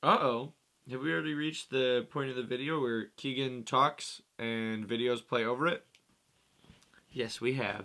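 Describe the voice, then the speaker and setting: A man talks at a moderate pace in a bright, sharp tone. His intonation is fairly even. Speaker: musician vlogger. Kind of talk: casual vlog chat. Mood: playful, self-mocking. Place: home room. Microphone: studio mic.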